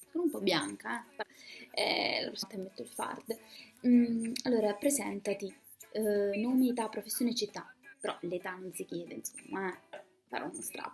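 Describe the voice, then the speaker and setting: Music plays behind a woman with a fairly high pitch and lively intonation. Her loudness swings widely, at a moderate pace. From Umbria, Terni. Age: 20s. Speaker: student and radio speaker. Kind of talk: casual video testimony.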